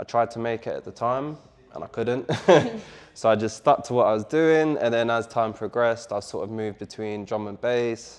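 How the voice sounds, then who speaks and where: A man with a London accent talks at a moderate pace in a medium pitch. His intonation stays fairly even while his loudness swings widely. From London, England. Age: 20s. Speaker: DJ and music producer. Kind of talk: interview.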